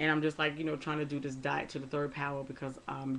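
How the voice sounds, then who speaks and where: A woman speaks at a fairly quick pace in a very deep, low voice, her intonation flat and monotone. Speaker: weight-loss vlogger. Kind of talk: casual vlog talk. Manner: halting, many fillers.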